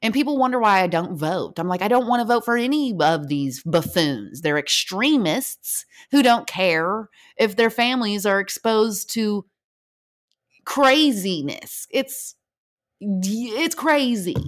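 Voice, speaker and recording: A woman with a fairly high pitch and an animated tone, very wide pitch swings, a fairly slow pace, and a very clean recording with a silent background. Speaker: podcast host, military veteran, mother. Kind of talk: casual solo monologue.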